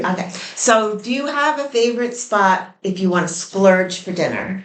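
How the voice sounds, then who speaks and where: A woman's unremarkable speaking voice with an American accent, medium pitch, ordinary pitch variation and a moderate pace. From New York. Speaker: interviewer / channel co-host. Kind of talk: casual interview on a porch.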